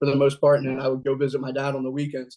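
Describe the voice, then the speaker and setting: A man with a Philadelphia accent speaks at a fairly high pitch. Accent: Philadelphia-area American. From Pennsylvania, Delaware County near Philadelphia. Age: 30s. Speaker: recovering addict telling life story. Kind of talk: personal testimony. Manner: conversational with frequent fillers.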